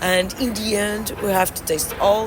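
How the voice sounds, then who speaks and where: Her intonation is monotone and flat. The woman's voice carries audible room echo amid noticeable background noise. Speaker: winemaker. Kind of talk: interview. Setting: in person, New York City. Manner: halting.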